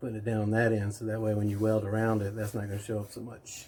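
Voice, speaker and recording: The voice is somewhat breathy with a dark, mellow tone, moving at a fairly quick pace in monotone, flat intonation. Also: man. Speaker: mobile welder. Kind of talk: tutorial. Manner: soft-spoken.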